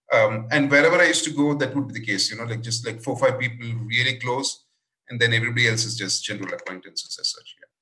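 Music plays in the background. The speaking pace is very fast, with ordinary pitch variation. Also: man. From India, moved around many cities. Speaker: improviser and workshop leader. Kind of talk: interview conversation.

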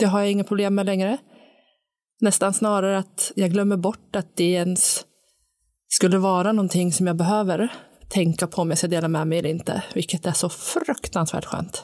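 With a strong Sundsvall accent, a woman talks at a medium pitch and a moderate pace, with fairly even intonation and very even loudness. The recording is very clean, with a silent background. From Sundsvall, northern Sweden. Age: 40s. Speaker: recovering alcoholic, new co-host. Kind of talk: casual conversation, personal testimony. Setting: studio.

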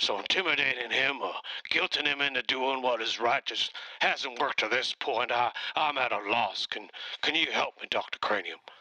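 A man uses a put-on character voice, medium in pitch, at a moderate pace. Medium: comedy sketch. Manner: exasperated, ranting.

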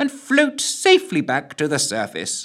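A nasal, put-on character voice goes along at a moderate pace. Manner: long-winded, fussy.

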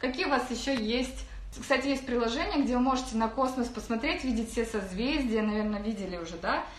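With audible room echo and noticeable background noise, a woman speaks at a fairly quick pace, her pitch fairly high and her pitch variation ordinary. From Kazakhstan, Karaganda region. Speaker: online business coach. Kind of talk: webinar talk. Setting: rented office.

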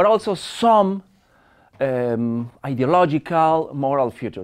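Very slow speech in a Spanish accent. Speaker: media studies professor. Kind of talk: lecture. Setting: seminar room with audience. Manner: halting.

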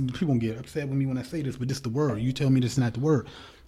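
Very fast and somewhat breathy, a man talks in a dark, mellow tone at medium pitch with ordinary pitch variation. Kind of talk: casual chat.

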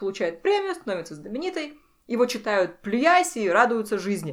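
At a moderate pace, a woman speaks with a fairly high pitch and very wide pitch swings in a very clean recording with a silent background. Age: 30s. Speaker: writer. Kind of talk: casual chat.

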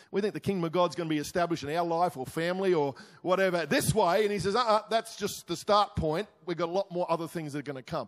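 The speaker races along at a very fast pace with hardly any pauses. Pitch varies in an ordinary way, and the recording is very clean with a silent background. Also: man, high pitch for a man. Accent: Australian. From Australia, Queensland (Crow's Nest). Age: 60s. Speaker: pastor. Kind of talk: sermon.

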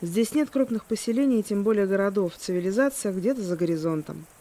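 With a dark, mellow tone and lively intonation, a woman speaks at a medium pitch and a moderate pace. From Russia, Kaliningrad. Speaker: podcast host. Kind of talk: scripted narration.

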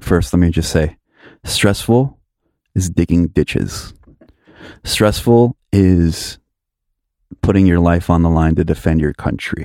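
The voice has a dark, mellow tone and ordinary pitch variation, moving at a fairly slow pace with long, frequent pauses on a very clean recording with a silent background. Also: man, very deep, low pitch for a man, very even loudness. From Miami, Florida. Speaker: DJ and producer. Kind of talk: casual interview.

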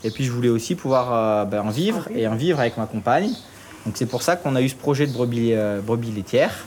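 Over noticeable background noise, a man with a medium-pitched voice speaks at a moderate pace with lively intonation. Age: young. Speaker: farmer. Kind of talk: guided farm tour.

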